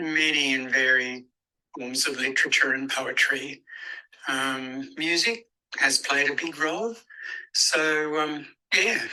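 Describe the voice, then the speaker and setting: The speaker has an Australian accent and a very slow pace, broken by long, frequent pauses. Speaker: spoken word artist and performer. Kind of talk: interview answer. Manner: hesitant, reflective.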